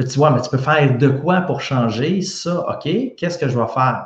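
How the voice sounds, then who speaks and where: A man talks in a somewhat breathy voice with ordinary pitch variation. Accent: Quebec. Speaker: health science expert. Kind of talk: casual science discussion.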